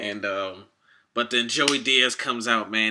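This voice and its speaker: This is a man's voice. Its tone is bright and sharp. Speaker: vlogger. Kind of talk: casual rant to camera. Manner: fast; animated.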